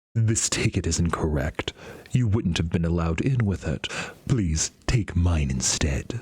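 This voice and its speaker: At a moderate pace, this man puts on a character voice with a very deep, low pitch. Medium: game stream. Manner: formal, old-fashioned, says "my dear".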